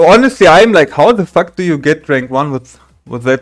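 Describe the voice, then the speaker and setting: With a German accent, a man speaks at a moderate pace in a fairly high pitch, making very wide pitch swings. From Germany. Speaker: gaming streamer. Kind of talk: casual talk to camera. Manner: halting.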